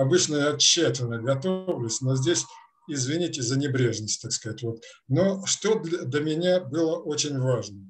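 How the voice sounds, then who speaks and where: With music in the background, a man speaks at a fairly slow pace in a fairly high pitch with lively intonation. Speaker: experimental researcher. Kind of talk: scientific presentation. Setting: video call. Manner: halting. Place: home room. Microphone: video call.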